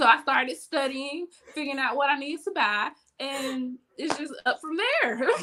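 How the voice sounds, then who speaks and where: A woman with a high pitch projects a raised voice in a bright, sharp tone, using ordinary pitch variation. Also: moderate pace. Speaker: photographer and crafter. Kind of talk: interview answer.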